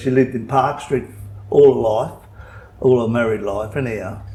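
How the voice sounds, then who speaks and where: Speaking with an Australian accent, a man uses a medium pitch, a moderate pace and fairly even intonation. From Western Australia, Perth. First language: Italian. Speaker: local resident. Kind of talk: interview.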